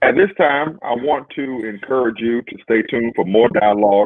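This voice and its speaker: A man with an ordinary speaking voice, lively intonation, and a moderate pace. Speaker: interview host. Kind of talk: interview. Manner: formal.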